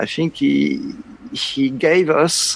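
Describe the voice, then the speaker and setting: A man with a French accent over noticeable background noise. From France. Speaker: concert organist and music professor. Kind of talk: interview. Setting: online call. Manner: halting.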